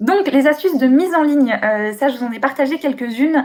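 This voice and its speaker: A woman at a moderate pace with lively intonation. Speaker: booktuber and bookseller giving a talk. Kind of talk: online conference presentation. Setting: live webcam stream from home. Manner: hesitant with many euh.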